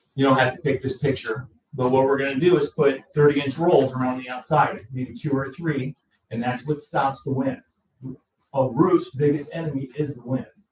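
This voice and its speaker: Fairly high in pitch and somewhat breathy, a man speaks with an American accent. His intonation stays fairly even. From Indiana (LaPorte). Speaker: roofing contractor. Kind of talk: sales pitch. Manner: fast.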